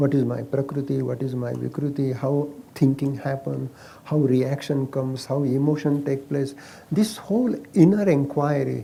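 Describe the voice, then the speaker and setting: Delivered at a moderate pace with fairly even intonation, the speech carries an Indian accent. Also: man, fairly high pitch for a man. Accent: Marathi-accented Indian English. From Maharashtra, India. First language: Marathi. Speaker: ayurveda practitioner. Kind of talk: interview.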